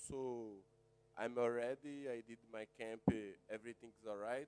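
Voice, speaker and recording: A man with a medium pitch takes a fairly slow pace. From Brazil, Rio de Janeiro. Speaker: jiu-jitsu fighter. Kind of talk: press conference statement. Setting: press conference. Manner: halting.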